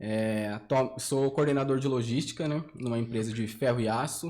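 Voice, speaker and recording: A man speaks with a medium pitch. His pace is fairly slow. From São José do Rio Preto, São Paulo state, Brazil. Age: 30s. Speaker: debate guest, logistics coordinator. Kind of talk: casual debate.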